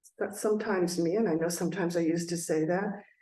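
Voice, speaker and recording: A woman speaks with a fairly low pitch and a dark, mellow tone. Her pitch varies normally, and room echo is audible. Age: 60s. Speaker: presenter on brain health and aging. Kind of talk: webinar presentation. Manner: halting with frequent fillers and restarts.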